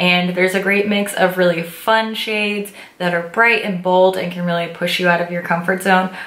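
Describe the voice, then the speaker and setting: Speaking at a fairly quick pace, a woman keeps a monotone, flat intonation at a medium pitch. Audible room echo and noticeable background noise fill the recording. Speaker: beauty vlogger. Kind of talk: product review and makeup tutorial.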